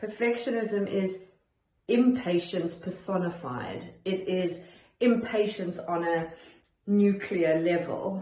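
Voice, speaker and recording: A woman speaks at a very slow pace, with a medium pitch and ordinary pitch variation. Audible room echo surrounds her voice. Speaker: perfectionism coach. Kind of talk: self-help talk to camera. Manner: calm, centered.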